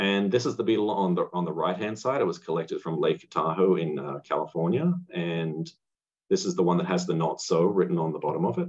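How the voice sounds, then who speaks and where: A man talks at a fairly quick clip in an Australian accent. The background is quiet. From rural Australia. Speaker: amateur entomologist; presenter. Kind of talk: lecture. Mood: enthusiastic, friendly. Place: home room. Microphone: webcam.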